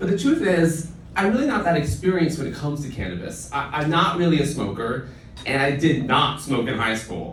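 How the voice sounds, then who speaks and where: A man with a fairly high pitch and lively intonation at a fairly quick pace, with audible room echo and noticeable background noise. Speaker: late-night comedy show host. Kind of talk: stand-up monologue. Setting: stage with audience. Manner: loud.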